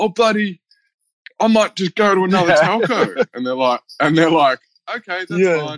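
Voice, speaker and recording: Heard dry and close with no echo, a man talks in an Australian accent. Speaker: podcast co-host.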